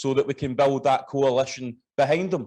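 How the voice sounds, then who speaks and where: A man's fairly high-pitched voice at a fairly quick pace, with ordinary pitch variation and a quiet background. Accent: Scottish. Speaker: party official. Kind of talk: political speech. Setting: conference hall with audience.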